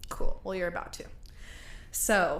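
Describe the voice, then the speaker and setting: A woman with an American accent, ordinary pitch variation, and audible room echo. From United States. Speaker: podcast host. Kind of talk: storytelling. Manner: casual.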